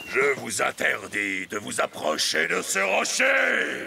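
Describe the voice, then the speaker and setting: Over clear background noise, a man uses a cartoonish character voice at a fairly slow pace. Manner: gruff, threatening.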